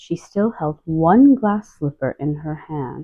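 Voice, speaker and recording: Soft-spoken and gentle in tone, a woman talks at a very slow pace with lively intonation. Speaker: storybook reader. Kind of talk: reading aloud.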